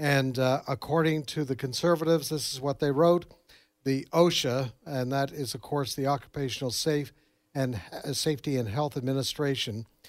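Fairly even intonation marks a plain, everyday voice, heard at a moderate pace in a very clean recording with a silent background. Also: man, fairly high pitch for a man. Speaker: news director. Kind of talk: news report.

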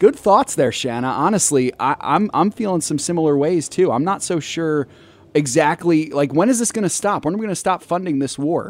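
A man with a fairly high pitch uses lively intonation in a normal speaking voice. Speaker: investment adviser, co-host. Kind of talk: casual advice on call-in show.

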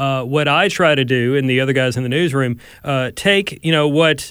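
This man has a normal speaking voice, fairly high in pitch with ordinary variation, captured in a very clean recording against a silent background. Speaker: news reporter.

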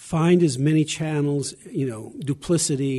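In an American accent, a man speaks at a moderate pace over a quiet background. His fairly high pitch, dark, mellow tone and fairly even intonation come through somewhat breathy. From US South, Arkansas. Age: 70s. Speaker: lawyer and religious liberty advocate. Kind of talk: interview. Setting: convention broadcast.

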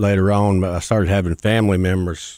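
A man with a Mississippi accent speaks at a very deep, low pitch. The recording is very clean and dry, close and free of echo, with a silent background. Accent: Southern US (Mississippi). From US South (Mississippi). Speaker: mailroom supervisor and recovering alcoholic. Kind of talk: personal testimony.

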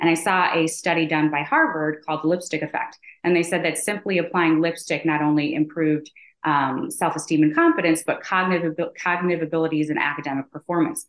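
A very fast, flat, monotone woman's voice, fairly low in pitch, with an American accent. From Chicago, US Midwest. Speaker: entrepreneur, company founder. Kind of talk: interview.

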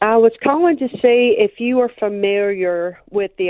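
A woman talks at a fairly slow pace with a Mississippi accent. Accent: Southern US (Mississippi). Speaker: caller. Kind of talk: call-in chat. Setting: phone call.

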